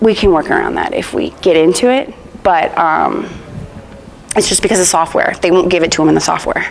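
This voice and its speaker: Noticeable background noise sits behind a woman talking at a fairly quick pace. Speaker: product trainer. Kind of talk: training session. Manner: fast; casual.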